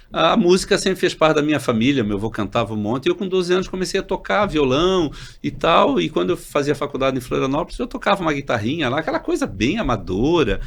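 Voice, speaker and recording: A man talks at a very fast pace with hardly any pauses, his fairly high voice showing vocal fry. His pitch swings very widely. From Santa Catarina coast, Brazil (Itajaí). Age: 60s. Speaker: doctor and health cooperative executive. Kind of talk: casual chat.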